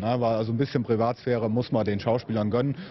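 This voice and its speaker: At a fairly quick pace, a man speaks over light background noise. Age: 30s. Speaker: event host. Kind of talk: interview. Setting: at a convention venue. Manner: hesitant, many fillers. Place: hall.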